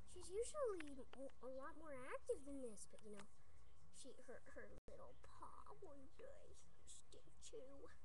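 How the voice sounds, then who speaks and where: Speech comes at a fairly slow pace with long, frequent pauses and noticeable background noise. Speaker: dog owner. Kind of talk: casual talk to camera. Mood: affectionate, proud. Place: home room. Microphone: webcam.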